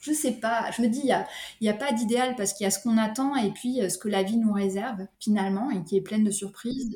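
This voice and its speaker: A woman's fairly high, somewhat breathy voice with a dark, mellow tone, at a fairly quick pace. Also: ordinary pitch variation. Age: 30s. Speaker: sophrologist, single mother. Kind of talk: casual interview.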